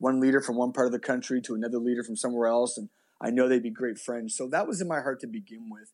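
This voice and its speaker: Against a quiet background, a man with a Nova Scotian accent speaks at a medium pitch with ordinary pitch variation. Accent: Nova Scotian Canadian English. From Canada, Halifax, Nova Scotia. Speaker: pastor. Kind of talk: casual interview.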